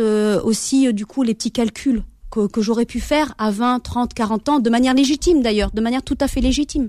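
In a dry, close sound with no echo, a woman with a dark, mellow tone speaks at a fairly high pitch and a moderate pace. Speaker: novelist and teacher. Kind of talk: radio interview. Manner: hesitant, many fillers.

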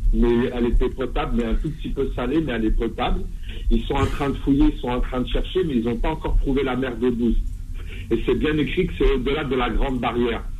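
A man talks at a fairly quick pace with audible room echo and noticeable background noise. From Algeria, Kabylie (raised in France from age 7). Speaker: radio caller. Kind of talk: phone-in question.

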